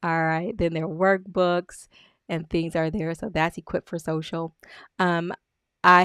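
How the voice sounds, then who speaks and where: Recorded very cleanly against a silent background, a woman has a plain, everyday voice, fairly low in pitch, with a dry, close sound and no echo. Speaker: business coach. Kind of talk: screen-share tutorial walkthrough. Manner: casual with fillers.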